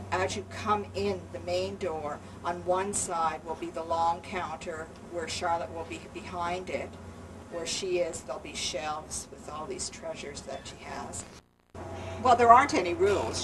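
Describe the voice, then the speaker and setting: Audible room echo and noticeable background noise accompany speech at a moderate pace with big swings in loudness. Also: woman. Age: 60s. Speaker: postmaster and free store volunteer. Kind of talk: documentary interview. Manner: halting, many fillers.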